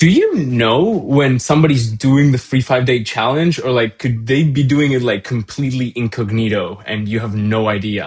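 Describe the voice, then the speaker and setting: Against a quiet background, a man talks at a moderate pace with ordinary pitch variation and hardly any pauses. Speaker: voice AI builder and livestream host; livestream host. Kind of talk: casual live interview. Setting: livestream on camera. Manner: loud. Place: home room. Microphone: video call.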